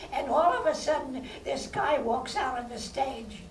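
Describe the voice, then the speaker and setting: A woman with an American accent talks at a fairly slow pace amid audible room echo. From New York City. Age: 80s+. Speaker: former vaudeville performer and filmmaker. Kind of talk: audience Q&A. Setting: stage with audience at film festival.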